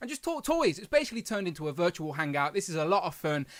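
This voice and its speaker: In a very clean recording with a silent background, a man with a West Midlands accent talks at a very fast pace with very wide pitch swings. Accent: English, Coventry. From England, Coventry. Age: 30s. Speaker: toy review youtuber. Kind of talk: live stream casual chat.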